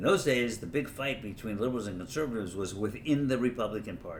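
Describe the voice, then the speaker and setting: Audible room echo follows a man who speaks very fast with lively intonation in an American accent. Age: 70s. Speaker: lawyer and political commentator. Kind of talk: casual political monologue. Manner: halting, many fillers and restarts.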